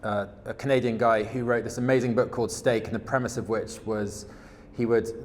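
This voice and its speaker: Flat, monotone intonation from a man at medium pitch, with audible room echo. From England. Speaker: supply chain executive in regenerative agriculture. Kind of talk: conference presentation. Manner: hesitant, many fillers and repetitions.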